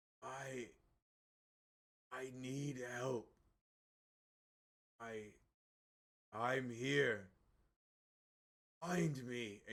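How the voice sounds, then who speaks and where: Using a raspy put-on character voice of medium pitch, a man speaks at a very slow pace with long, frequent pauses. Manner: pleading, echoing.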